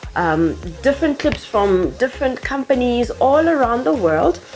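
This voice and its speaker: A woman with a South African accent, high-pitched and at a moderate pace, with very wide pitch swings and music in the background. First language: Tsonga. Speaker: YouTuber. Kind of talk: tutorial. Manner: animated.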